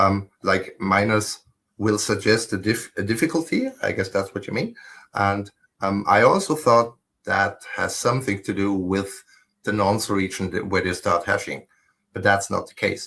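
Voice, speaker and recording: A man speaks at a moderate pace with a German accent. The recording is very clean, with a silent background. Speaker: solo mining pool operator. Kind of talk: technical casual chat.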